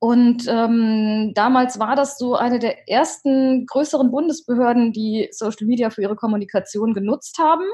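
A woman with a high pitch and a dark, mellow tone speaks at a moderate pace with hardly any pauses. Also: ordinary pitch variation. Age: 30s. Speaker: social media consultant, former civil servant. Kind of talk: interview. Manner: hesitant with frequent fillers.

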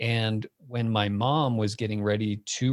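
A man with an American accent speaks in a plain, everyday voice at a fairly low pitch. His intonation is fairly even, and the recording is very clean with a silent background. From US Southwest (Phoenix, Arizona). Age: 40s. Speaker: tech company founder. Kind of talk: casual interview chat.

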